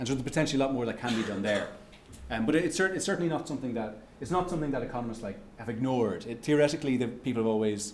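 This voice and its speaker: A man with an Irish accent talks at a very fast pace in a medium pitch, with audible echo in the room. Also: ordinary pitch variation. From Ireland. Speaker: economics researcher giving a lecture. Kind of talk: lecture with audience Q&A. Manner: halting, many restarts and fillers.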